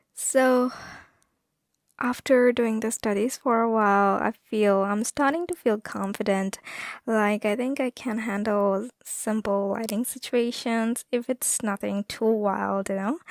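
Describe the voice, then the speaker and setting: A soft-spoken voice moves at a fairly slow pace with fairly even intonation. The recording is very clean with a silent background, and the sound is dry and close with no echo. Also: woman, fairly high pitch for a woman. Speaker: artist vlogger. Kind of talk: casual vlog talk. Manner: halting.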